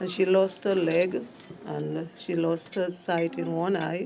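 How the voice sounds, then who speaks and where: Music plays behind a woman in audible room echo. She speaks at a fairly slow pace. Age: 60s. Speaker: interviewee, local worker. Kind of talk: interview.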